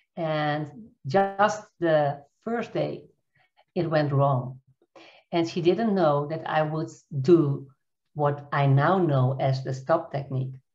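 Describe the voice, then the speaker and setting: A woman with a Dutch accent speaks at a very slow pace in a very deep, low pitch, with ordinary pitch variation. Long, frequent pauses break up her speech against a quiet background. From Netherlands. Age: 50s. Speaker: coach and trainer. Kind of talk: interview, nonnative English. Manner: halting, searching for words. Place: home room. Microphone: video call.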